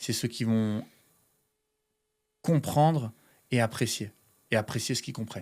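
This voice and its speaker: Medium male pitch on a very clean recording with a silent background. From France. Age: 30s. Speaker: pastry chef. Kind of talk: podcast interview. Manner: hesitant, many fillers.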